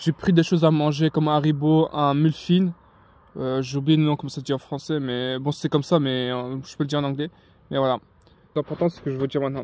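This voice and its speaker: Dry and close with no echo, a man's fairly high voice moves at a fairly quick pace in a monotone, flat intonation. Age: young. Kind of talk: casual talk to camera. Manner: hesitant, informal.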